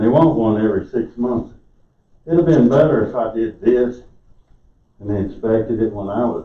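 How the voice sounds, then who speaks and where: This man speaks at a medium pitch with a South Carolina accent. His loudness swings widely, he leaves long, frequent pauses, and the room echo is audible. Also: ordinary pitch variation, moderate pace. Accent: Southern US (South Carolina). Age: 60s. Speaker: resident speaking at public comment. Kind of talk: public comment at council meeting. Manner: halting.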